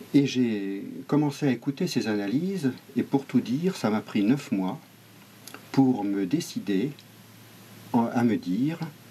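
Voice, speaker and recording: A man at a medium pitch talks very slowly, with lively intonation and long, frequent pauses. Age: 50s. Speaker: local election candidate. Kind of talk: interview. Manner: hesitant, many fillers.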